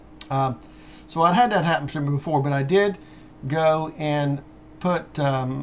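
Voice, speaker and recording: A man with a fairly high pitch talks at a fairly slow pace with ordinary pitch variation. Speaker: finance video blogger. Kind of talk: screen-share tutorial monologue. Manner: halting, many fillers; unscripted, improvised.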